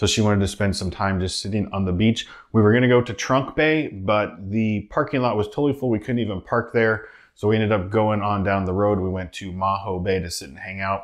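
With ordinary pitch variation, a man talks fairly quickly at a fairly low pitch over a quiet background. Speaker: travel vlogger. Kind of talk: casual vlog chat. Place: home room.

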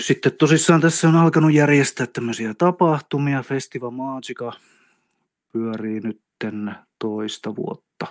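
In a very clean recording with a silent background and a dry, close sound with no echo, a man with an unremarkable speaking voice talks fairly slowly at medium pitch, with ordinary pitch variation and big swings in loudness. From South Karelia, Finland (Lappeenranta). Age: 50s. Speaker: energy healer. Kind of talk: casual chat. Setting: studio.

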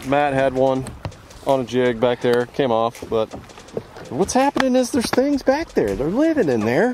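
A man with a Southern US accent speaks at a moderate pace, his loudness very even. The sound is dry with no echo, though there is noticeable background noise. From US South. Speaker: fishing vlogger. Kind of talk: casual outdoor vlog commentary. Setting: on a boat outdoors. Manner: animated. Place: boat. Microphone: phone near.

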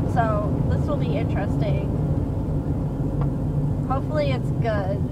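A woman speaks at a moderate pace over loud background noise. The sound is dry with no echo. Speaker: vlogger. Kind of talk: casual vlog chat. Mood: playful, chatty. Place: car. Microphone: phone near.

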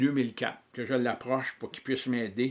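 At a fairly slow pace, a man speaks with monotone, flat intonation. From Quebec. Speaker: political activist. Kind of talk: reading aloud; monologue reading details to camera. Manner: halting. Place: home room. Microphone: webcam.

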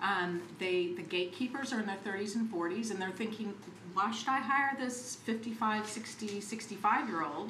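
At a moderate pace and with few pauses, a woman speaks at medium pitch with ordinary pitch variation, and room echo is audible.

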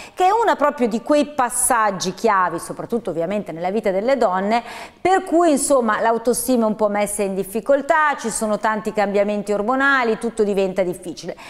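Her intonation is lively. The woman talks at a fairly quick pace. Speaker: TV show host. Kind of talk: TV show introduction. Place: studio.

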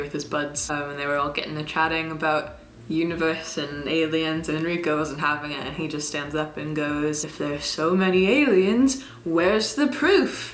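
Her pitch very deep and low, a woman speaks at a moderate pace with ordinary pitch variation, amid light background noise and audible room echo. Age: young. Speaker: YouTuber. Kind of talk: casual talk to camera. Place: home room. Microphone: camera far.

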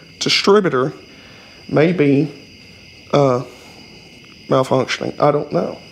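With light background noise, a man speaks very slowly in a Southern US accent at a fairly high pitch. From US South. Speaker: YouTuber working on old vehicles. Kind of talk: casual garage vlog. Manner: rambling, colloquial. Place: garage. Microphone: camera far.

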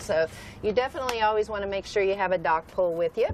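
A woman's voice comes through with light background noise and a dry sound with no echo. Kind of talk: interview answer. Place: boat. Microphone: lapel.

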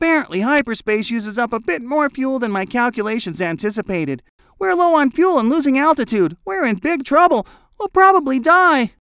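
A man's cartoonish character voice, extremely high in pitch, with very wide pitch swings and a fairly quick pace, on a very clean recording with a silent background. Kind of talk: cartoon voice acting. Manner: cocky, boastful.

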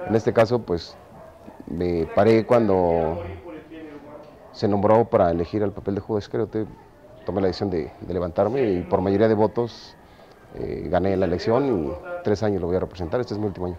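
A man with a fairly low voice talks at a fairly quick clip with ordinary pitch variation, leaving long, frequent pauses over noticeable background noise. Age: 40s. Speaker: amateur actor in a Passion play. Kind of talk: interview. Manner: halting.

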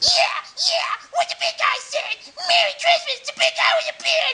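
A man in a cartoonish character voice speaks at an extremely high pitch and a moderate pace. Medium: puppet. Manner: brash, casual.

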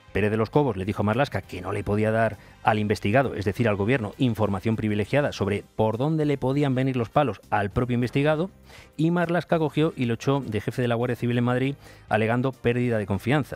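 A man at a very fast pace with ordinary pitch variation, dry sound with no echo, and faint music in the background. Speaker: radio presenter. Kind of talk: news commentary. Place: studio.

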